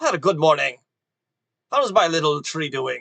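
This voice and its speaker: A man puts on a character voice. It sits fairly high in pitch. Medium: actual play. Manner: warm, homely.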